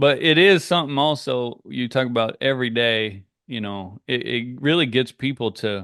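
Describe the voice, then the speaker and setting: Medium in pitch, his is an unremarkable speaking voice. The man's pitch shifts in an ordinary way. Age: 50s. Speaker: podcast host. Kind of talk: casual interview.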